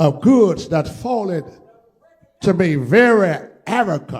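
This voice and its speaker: This man speaks at a very slow pace in a high voice. His intonation is lively. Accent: American. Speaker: pastor. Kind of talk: sermon. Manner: passionate, vivid storytelling.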